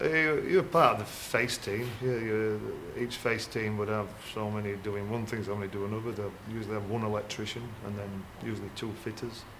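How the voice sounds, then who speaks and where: Talking at a fairly quick pace with a Yorkshire accent, a man uses a fairly low pitch and fairly even intonation amid audible room echo. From Yorkshire, Castleford. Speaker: former coal miner, electrician. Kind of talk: casual interview.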